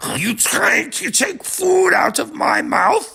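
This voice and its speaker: This put-on character voice is raspy and high in pitch, with very wide pitch swings. It moves at a fairly slow pace. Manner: bellowing, indignant.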